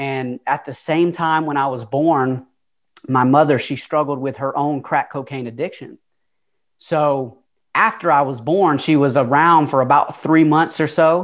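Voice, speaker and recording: A man with a Southern US accent speaks fairly slowly at a fairly high pitch. His intonation is fairly even, and the background is quiet. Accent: Southern US, noticeable twang. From Atlanta, Georgia. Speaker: motivational speaker. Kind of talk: casual interview, storytelling.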